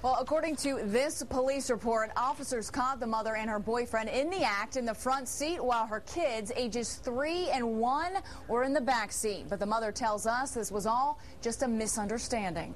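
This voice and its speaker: A woman speaks at a high pitch and a moderate pace over light background noise. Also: ordinary pitch variation. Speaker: TV news reporter. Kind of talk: news report. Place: studio. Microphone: lapel.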